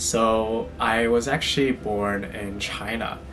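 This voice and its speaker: Music plays behind a man with an American accent who talks at a medium pitch with ordinary pitch variation, and the room's echo is audible. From US Midwest, suburb of Chicago. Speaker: fashion and lifestyle vlogger. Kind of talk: casual personal storytime vlog.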